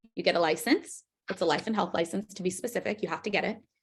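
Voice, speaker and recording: A woman talks at a very fast pace with lively intonation. Her voice is somewhat breathy. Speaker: financial services business trainer. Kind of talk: training presentation demonstrating a recruiting pitch. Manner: casual, filler-heavy.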